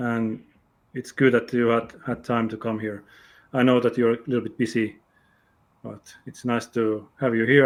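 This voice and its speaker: Speaking with a Finnish accent, a man keeps a moderate pace at medium pitch. The recording is very clean with a silent background. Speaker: interview show host. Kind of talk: interview. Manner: halting.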